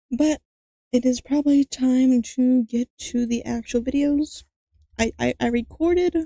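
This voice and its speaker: Quiet and very even in loudness, a woman with a high pitch and a dark, mellow tone speaks at a fairly slow pace in a dry, close recording with no echo. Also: fairly even intonation. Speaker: vtuber streamer. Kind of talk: casual live stream chat. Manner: halting, many repetitions and fillers; quiet at the start of a stream.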